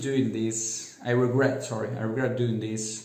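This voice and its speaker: With an Italian accent, a man speaks at a fairly slow pace amid audible room echo. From Italy. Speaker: self-help vlogger. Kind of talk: casual monologue. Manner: halting, many fillers.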